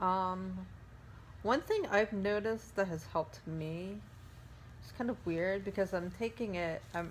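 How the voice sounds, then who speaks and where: A somewhat breathy woman speaks with ordinary pitch variation, leaving long, frequent pauses. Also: medium pitch for a woman. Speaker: health vlogger sharing personal experience. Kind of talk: casual informational monologue. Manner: halting, many fillers.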